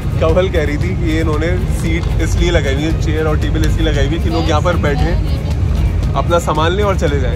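Loud music plays in the background as a man talks at a fairly quick pace. The sound is dry with no echo. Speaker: food vlogger. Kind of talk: casual vlog chat. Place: street. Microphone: phone near.

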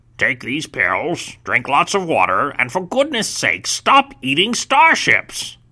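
A put-on character voice at a middle pitch, fairly slow in pace, with hardly any pauses. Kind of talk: comic overacting. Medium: comedy sketch. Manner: exasperated, scolding.

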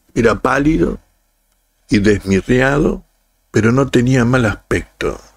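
A man's medium-pitched voice with a Rioplatense accent, solemn in tone, at a very slow pace with long, frequent pauses. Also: lively intonation. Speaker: audiobook narrator and channel host. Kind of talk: scripted narration, dramatic reading aloud of a literary story. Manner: slow, solemn, expressive, lamenting, with pauses; shifts into a curt, stern boss voice for quoted dialogue.

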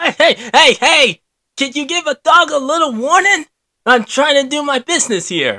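High pitch at a moderate pace. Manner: wisecracking, defiant.

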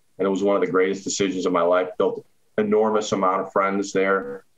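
In an unremarkable speaking voice, a man keeps his fairly low pitch fairly level in intonation. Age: 40s. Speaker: former college football running back. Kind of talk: casual interview.

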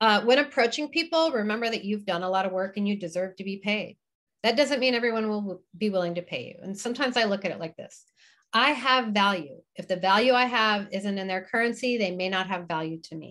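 A woman's plain, everyday voice at a medium pitch, fairly quick, with lively intonation and big swings in loudness, against a quiet background. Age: 50s. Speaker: retired burlesque performer and teacher. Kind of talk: online presentation with Q&A. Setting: video call from her kitchen.

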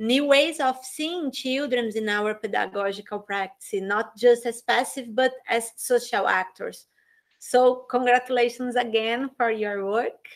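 Slow-ish and high-pitched, a woman with a Portuguese accent speaks with ordinary pitch variation against a quiet background. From Brazil. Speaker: education professor and interviewer. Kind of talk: interview. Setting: video call. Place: home room. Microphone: webcam.

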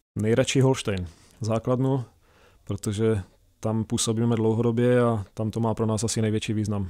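In a quiet background, a man speaks at a moderate pace in a dark, mellow tone with monotone, flat intonation. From Czech Republic. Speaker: speleologist, caving club chairman; guest. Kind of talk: radio interview. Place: studio. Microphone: studio mic.

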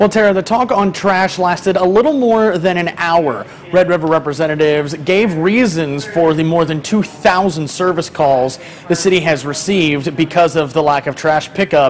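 Light background noise sits behind a man with a high pitch. He speaks at a moderate pace with lively intonation. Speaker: TV news reporter. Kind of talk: news report. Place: office.

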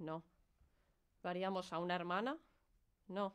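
A woman speaks with a Spanish accent. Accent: Peninsular Spanish. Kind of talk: performance monologue, protest speech.

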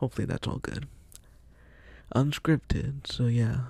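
A soft-spoken man's somewhat breathy voice, dark and mellow in tone, with ordinary pitch variation and a dry sound free of echo. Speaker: vlogger; solo podcaster. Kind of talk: casual monologue; casual podcast monologue. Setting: at family's house. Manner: halting. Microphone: new mic, equalized; studio mic.

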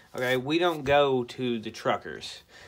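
The man's pace is fairly slow and his pitch varies in an ordinary way. Behind him, the background is quiet. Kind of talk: casual vlog rant. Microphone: phone near.

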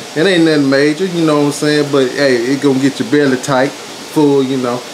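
The speaker's intonation is monotone and flat, with noticeable background noise behind it. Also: man. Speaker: home cook vlogger. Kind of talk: casual vlog chat. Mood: relaxed, jokey. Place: kitchen. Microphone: phone near.

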